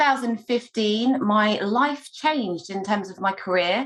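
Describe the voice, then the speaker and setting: Over a quiet background, a woman with a London accent speaks at a very slow pace with ordinary pitch variation. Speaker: scrum master and agile coach. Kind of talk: online meetup introduction.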